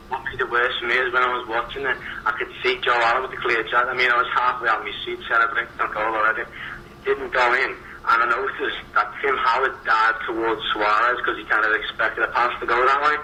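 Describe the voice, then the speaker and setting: A man with a Liverpool accent speaks very fast at a medium pitch, his intonation flat and monotone. Noticeable background noise runs under him. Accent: Scouse. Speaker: football analyst. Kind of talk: radio football discussion.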